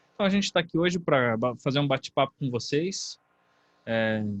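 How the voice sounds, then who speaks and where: A man of medium pitch talks with a Brazilian accent. The sound is dry and close with no echo. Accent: non-carioca Brazilian Portuguese. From Brazil, not Rio de Janeiro. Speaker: university course coordinator, professor. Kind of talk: online information session talk. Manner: hesitant, with fillers.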